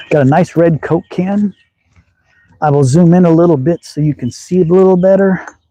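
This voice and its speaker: A man's high voice with a dark, mellow tone, fairly even intonation and a slight Southern US accent, in a dry, close sound with no echo. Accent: slight Southern drawl. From Texas. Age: 60s. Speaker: slingshot hobbyist. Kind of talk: live stream chat. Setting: outdoors. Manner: casual.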